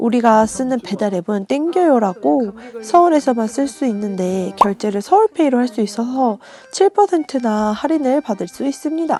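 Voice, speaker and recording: Amid noticeable background noise, a woman with a fairly high voice speaks at a moderate pace with very wide pitch swings. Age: 30s. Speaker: vlogger. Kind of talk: vlog voiceover narration.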